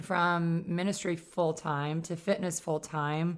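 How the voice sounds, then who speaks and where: A woman speaks at a fairly slow pace with an upstate New York accent. Her pitch is fairly low, in a very clean recording with a silent background. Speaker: podcast host. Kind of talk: podcast interview.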